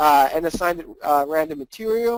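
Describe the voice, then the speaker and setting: A man is heard. The sound is dry and close, with no echo. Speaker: software workshop instructor. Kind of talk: live webinar tutorial. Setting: live webinar with chat window. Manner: fast.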